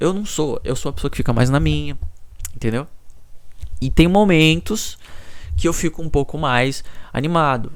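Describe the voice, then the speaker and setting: A soft-spoken man talks with lively intonation. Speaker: YouTuber. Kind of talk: personal vlog monologue. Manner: low energy.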